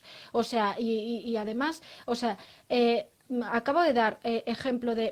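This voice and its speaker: This woman's voice sits at a fairly high pitch. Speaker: lawyer. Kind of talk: interview. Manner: hesitant, many fillers.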